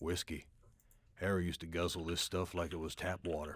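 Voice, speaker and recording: A man uses a put-on character voice with a very deep, low pitch. He talks at a fairly quick pace in a monotone, flat way. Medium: video game.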